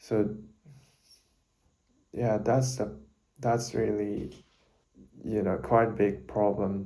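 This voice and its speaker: Heard with audible room echo, a man with a Japanese accent speaks very slowly at a fairly low pitch, his tone dark and mellow, with long, frequent pauses. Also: ordinary pitch variation. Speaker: university student vlogger. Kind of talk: casual talk to camera. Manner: halting, self-correcting.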